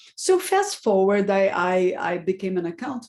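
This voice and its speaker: Speaking fairly slowly, a woman with a Portuguese accent has a medium pitch. Noticeable background noise runs behind her. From Brazil. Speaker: board director. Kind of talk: interview.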